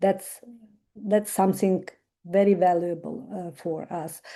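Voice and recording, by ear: Fairly low in pitch with a dark, mellow tone, a woman speaks at a fairly slow pace and with fairly even intonation.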